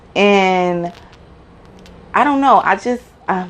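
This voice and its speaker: Animated in tone, a woman with a New York accent speaks at a medium pitch. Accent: New York (Bronx). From Bronx, New York City. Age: 30s. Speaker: YouTuber, mom. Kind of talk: casual Q&A vlog.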